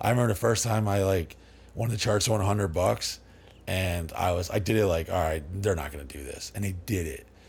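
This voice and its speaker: Speaking at a very fast pace, a man with an American accent has a very deep, low pitch, ordinary pitch variation and a somewhat breathy voice. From Dallas, Texas area. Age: 40s. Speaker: party house owner. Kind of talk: casual interview chat. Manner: rambling, animated.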